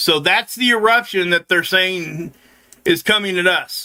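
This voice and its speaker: A man's high, raised and projected voice, bright and sharp in tone, with ordinary pitch variation and a dry, close sound free of echo. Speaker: space weather youtuber. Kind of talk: casual commentary on solar imagery. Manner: casual, conversational.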